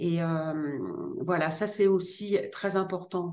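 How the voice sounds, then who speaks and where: A woman talks at a very slow pace. Her voice is fairly low. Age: 50s. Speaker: gardening author. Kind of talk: interview. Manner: hesitant, many fillers and repetitions.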